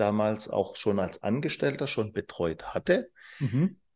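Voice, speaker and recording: With vocal fry and very wide pitch swings, a man talks at a fairly slow pace over a quiet background. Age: 40s. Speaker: business trainer and managing director. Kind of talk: casual interview. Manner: animated.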